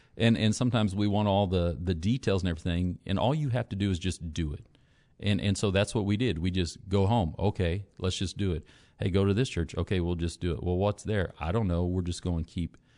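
A man speaks at a fairly quick pace in a very deep, low pitch with a dark, mellow tone. His pitch variation is ordinary, and the background is quiet. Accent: American. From US Midwest, Northwest Missouri. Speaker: pastor. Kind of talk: testimony.

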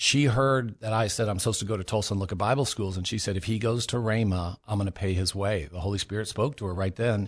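A man's fairly low, somewhat breathy voice with an American accent, a very fast pace, hardly any pauses and ordinary pitch variation over a quiet background. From California. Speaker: missionary. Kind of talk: testimony.

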